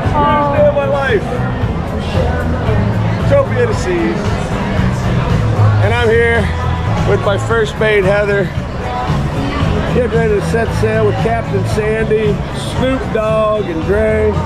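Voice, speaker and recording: A man speaks at a very slow pace, with long, frequent pauses. Music plays in the background. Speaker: travel vlogger. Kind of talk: casual vlog chat. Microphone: phone near.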